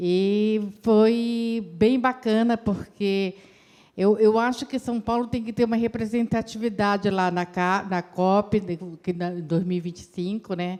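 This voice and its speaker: At a fairly slow pace, a woman speaks at medium pitch with a dark, mellow tone and fairly even intonation. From Brazil, Belém do Pará. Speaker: climate commission member. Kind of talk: impromptu public meeting speech.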